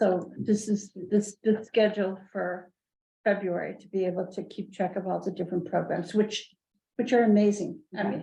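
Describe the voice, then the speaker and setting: A woman at a medium pitch speaks in a dark, mellow tone with vocal fry and big swings in loudness. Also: moderate pace. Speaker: library board member. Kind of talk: board meeting discussion. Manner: halting, many repeated words.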